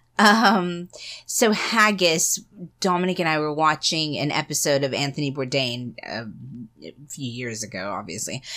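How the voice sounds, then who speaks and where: On a very clean, silent recording, a woman with a very deep, low pitch and a bright, sharp tone shows very wide pitch swings and big swings in loudness. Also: moderate pace. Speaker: podcast co-host. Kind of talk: casual chat.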